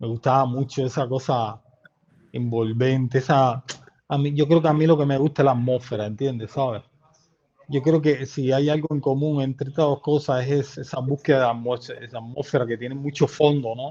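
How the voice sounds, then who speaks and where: Speaking at a fairly quick pace, a man with a medium pitch keeps his intonation fairly even. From eastern Cuba, Santiago de Cuba. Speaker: filmmaker and journalist. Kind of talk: interview conversation. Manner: halting, many repetitions.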